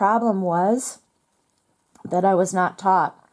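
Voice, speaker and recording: A woman talks at a medium pitch. Her pitch varies in an ordinary way. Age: 50s. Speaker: religious video blogger. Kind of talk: personal testimony monologue. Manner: halting, with fillers and repetitions.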